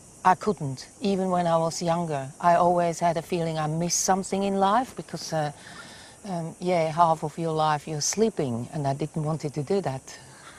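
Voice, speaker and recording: With noticeable background noise behind her, a woman with a Swiss accent speaks at a moderate pace, her fairly low voice showing ordinary pitch variation. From Switzerland. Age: 60s. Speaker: wildlife carer and camp owner. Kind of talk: interview. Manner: halting, with repetitions.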